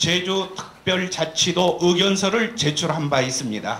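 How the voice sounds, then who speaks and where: A man uses a raised, projected voice. Noticeable background noise and audible room echo accompany him. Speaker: professor and study team leader. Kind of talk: press briefing presentation. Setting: press conference with TV cameras. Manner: formal; slightly trembling voice.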